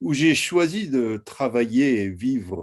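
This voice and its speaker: Speaking with an American accent at a very slow pace, a man with a medium pitch is heard against a quiet background. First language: English (speaking French). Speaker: historian. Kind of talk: lecture. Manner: halting.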